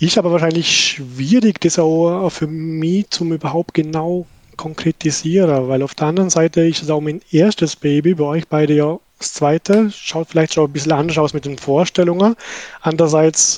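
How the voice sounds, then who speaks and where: A man with a Vorarlberg accent speaks at a moderate pace with fairly even intonation, in a dry, close sound with no echo. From Austria, Vorarlberg. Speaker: new father, colleague. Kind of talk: casual chat.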